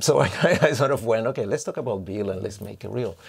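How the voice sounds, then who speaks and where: This man has an ordinary speaking voice, a medium pitch, and lively intonation. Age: 50s. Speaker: dancer and choreographer. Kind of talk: interview.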